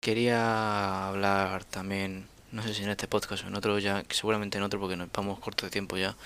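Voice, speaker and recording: A man's fairly low, bright, sharp voice in a monotone, flat intonation, at a moderate pace with hardly any pauses, on a very clean recording with a silent background. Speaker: podcast host. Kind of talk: casual chat.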